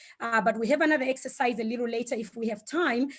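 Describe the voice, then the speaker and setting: A woman with a Zimbabwean accent speaks in a high voice. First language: Shona. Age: 40s. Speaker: speaker on Ubuntu philosophy. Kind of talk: online talk. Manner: hesitant, many fillers.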